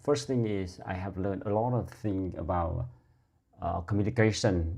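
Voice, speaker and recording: A man with a dark, mellow tone, somewhat breathy and fairly low in pitch, speaks at a moderate pace with ordinary pitch variation over a quiet background. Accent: Vietnamese. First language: Vietnamese. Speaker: English learner vlogger. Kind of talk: casual monologue; casual vlog chat, reflective practice speech. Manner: halting. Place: home room. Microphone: lapel.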